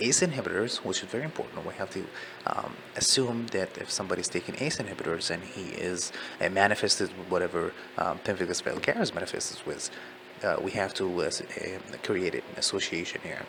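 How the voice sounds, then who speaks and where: Someone speaks with a non-native accent over noticeable background noise. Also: man. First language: not English. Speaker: medical student studying for licensing exam. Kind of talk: study session reading aloud with commentary. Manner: slow, deliberate; halting, many fillers.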